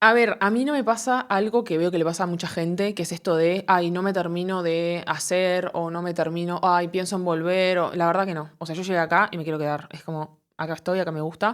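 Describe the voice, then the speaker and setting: A woman speaks with a Uruguayan accent at a fairly low pitch, using ordinary pitch variation. Her pace is fairly quick, with hardly any pauses. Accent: Uruguayan, unchanged. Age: 20s. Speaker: comedian and content creator. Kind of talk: interview. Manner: hesitant, many fillers.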